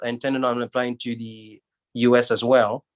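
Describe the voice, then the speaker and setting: At a moderate pace, a man with a medium pitch speaks in a dry, close sound with no echo over a quiet background. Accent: French. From Guinea, West Africa. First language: French. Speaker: surgeon, medical school alumnus. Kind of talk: panel discussion. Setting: livestream.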